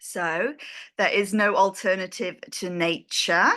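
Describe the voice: A woman with an English accent speaks slowly at a medium pitch, her tone bright and sharp and her intonation fairly even. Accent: British, English.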